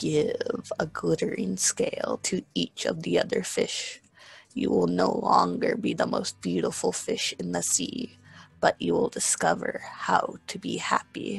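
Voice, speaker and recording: Using a put-on character voice, a man speaks in a solemn tone at a fairly slow pace. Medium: read story. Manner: solemn, knowing.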